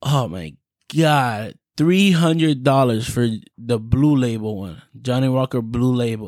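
At a very slow pace, a man with an American accent and a medium pitch speaks with lively intonation on a very clean recording with a silent background. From Florida. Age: 20s. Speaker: podcast host. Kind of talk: casual monologue. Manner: laughs often.

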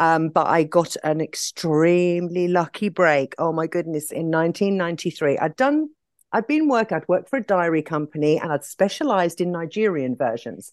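A woman with an English accent and a fairly low pitch speaks at a moderate pace with ordinary pitch variation and hardly any pauses, in a dry, close sound with no echo against a quiet background. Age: 50s. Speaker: nail industry entrepreneur. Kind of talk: podcast interview.

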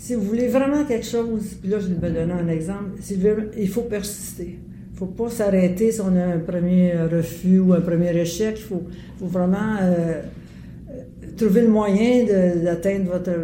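A woman at medium pitch with ordinary pitch variation and a fairly slow pace, over noticeable background noise. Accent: Quebec. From Quebec, Montreal (Verdun). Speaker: artist and former city councillor. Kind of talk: interview. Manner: halting.

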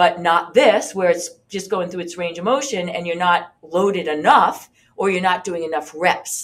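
In a normal speaking voice, a woman talks at a moderate pace with hardly any pauses, her fairly low pitch showing ordinary variation. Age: 50s. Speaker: fitness instructor and podcast host. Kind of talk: tutorial. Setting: video recording with demonstration. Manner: casual, with many fillers.

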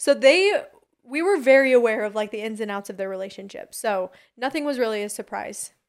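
Using an ordinary speaking voice, a woman with a fairly high pitch speaks at a fairly quick pace with ordinary pitch variation, on a very clean recording with a silent background. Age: 20s. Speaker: reality tv personality. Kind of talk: casual chat.

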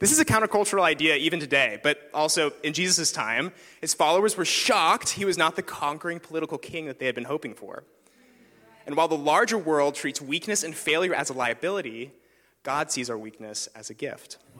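A man's fairly high voice, fairly quick and lively in intonation, over noticeable background noise. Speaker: filmmaker and church apprentice. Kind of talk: sermon. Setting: stage with audience.

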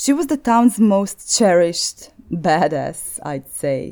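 Her pitch swings very widely. The woman has a dark, mellow tone and a Croatian accent. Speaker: podcast host. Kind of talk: scripted narration.

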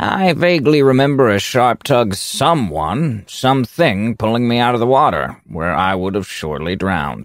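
With a dramatic, solemn tone, a man speaks at medium pitch and a moderate pace, his pitch swinging very widely. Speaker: story narrator playing a goblin shaman. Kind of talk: first-person fantasy narration in character. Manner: dramatic, solemn, storyteller's cadence.

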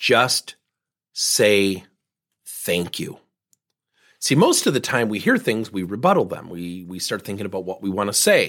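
An energetic man at a moderate pace in a very clean recording with a silent background. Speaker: business coach podcast host. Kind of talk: monologue podcast episode with coaching advice. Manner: direct, energetic.

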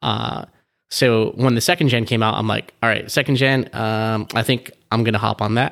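Very clean recording with a silent background, featuring a man with an American accent at medium pitch. His intonation is fairly even, with vocal fry. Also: moderate pace. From Southern California. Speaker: car enthusiast. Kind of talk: casual chat. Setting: in person at home.

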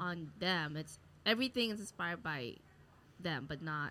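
With an American accent, a woman speaks at a very deep, low pitch in a bright, sharp tone. Her loudness swings widely, and she takes long, frequent pauses. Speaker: comedian and podcast host. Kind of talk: casual chat. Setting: live recording at a market venue.

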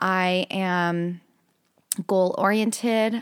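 A woman uses a normal speaking voice at a medium pitch with fairly even intonation. The recording is very clean, dry and close, with a silent background and no echo. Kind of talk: guided meditation with affirmations. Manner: calm, coaching tone, step-by-step and encouraging.

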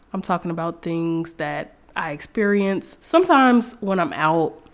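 Her pitch fairly low, a woman with a plain, everyday voice speaks with lively intonation. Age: 20s. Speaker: podcast host. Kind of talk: casual monologue.

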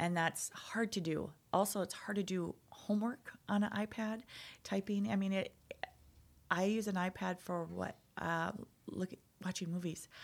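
Speaking with an Upper Midwest accent, a woman keeps a moderate pace and fairly even intonation at a medium pitch, with long, frequent pauses. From North Dakota. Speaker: nonprofit founder, IT professional. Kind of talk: casual interview.

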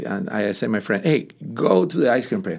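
A man of medium pitch with a Spanish accent. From Cuba. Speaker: pastor. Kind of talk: testimony. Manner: halting.

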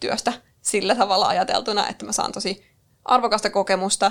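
The pace is fairly quick. It's a plain, everyday voice. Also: woman. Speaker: podcast co-host, marketing worker. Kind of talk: casual chat. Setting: studio.

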